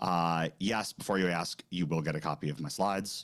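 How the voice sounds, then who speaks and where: In an American accent, a man talks with a very deep, low voice. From New York. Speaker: recruitment sourcing trainer. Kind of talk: webinar presentation. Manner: fast; casual, snarky.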